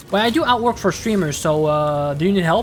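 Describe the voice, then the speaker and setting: Amid noticeable background noise, a woman talks at a very fast pace with lively intonation. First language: French. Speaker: video game streamer. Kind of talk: casual gameplay commentary.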